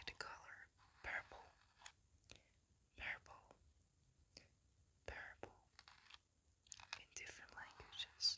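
Whispering at a very slow pace. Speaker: ASMR creator. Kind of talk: ASMR intro greeting to viewers. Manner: whispered, soft. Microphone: studio mic.

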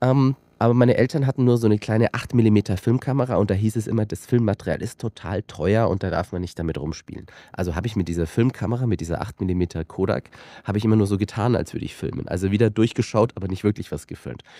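A man talks at a very fast pace in a fairly low, dark, mellow voice with ordinary pitch variation. The sound is dry with no echo, and the background is quiet. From rural Austria. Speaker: filmmaker and company director; guest. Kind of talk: casual interview. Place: studio. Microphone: studio mic.

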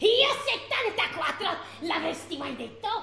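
A woman speaks at a very slow pace in an extremely high voice with very wide pitch swings. Her tone is theatrical, and there is clear echo. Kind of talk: stage comedy, comic overacting. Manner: loud, theatrical, flirtatious.

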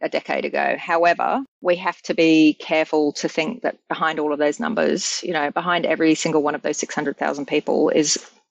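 A woman speaks at a fairly quick pace with a very deep, low pitch and fairly even intonation, her voice dry and close with no echo. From England. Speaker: domestic violence prevention leader. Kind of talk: interview conversation. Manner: frequent fillers and hesitations.

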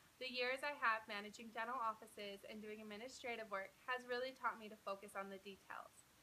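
With hardly any pauses, a woman with an American accent talks at a fairly high pitch, fairly even intonation and big swings in loudness over light background noise. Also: fairly quick pace. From Utah (Provo). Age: 20s. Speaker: job applicant. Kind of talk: video job application pitch. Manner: formal. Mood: upbeat, confident, smiling. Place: home room. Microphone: phone near.

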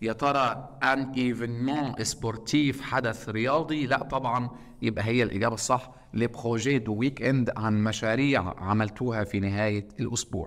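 Hardly pausing, a man with an Egyptian accent speaks at a moderate pace. His intonation stays fairly even. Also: medium pitch for a man. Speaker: teacher. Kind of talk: lecture. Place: classroom.

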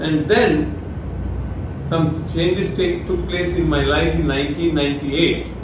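A man talks at a very slow pace, with audible room echo and noticeable background noise. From India, Rajasthan. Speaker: retired forest service officer and Bible teacher. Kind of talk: online Bible talk. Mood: calm, smiling. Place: home room.

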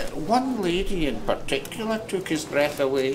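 With an Ayrshire accent, a man speaks at a very slow pace in a warm tone, his pitch swinging very widely. Noticeable background noise is present. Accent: Scottish, Ayrshire. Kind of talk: period audio drama narration, fireside storytelling. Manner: warm, conversational, unhurried storyteller.

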